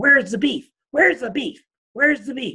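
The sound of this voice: At a moderate pace, the speaker performs a put-on character voice with a high pitch.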